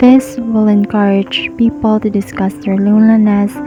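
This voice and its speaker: Over music in the background, a soft-spoken woman talks at a very slow pace in a calm tone, with medium pitch and ordinary pitch variation. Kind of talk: soft-spoken motivational podcast narration. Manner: sleepy, calm.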